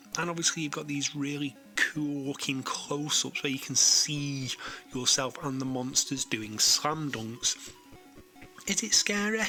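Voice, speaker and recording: Music sits behind a man speaking at a fairly slow pace. His pitch is fairly high, with ordinary variation. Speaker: retro games reviewer. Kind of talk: game review narration. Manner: casual, conversational.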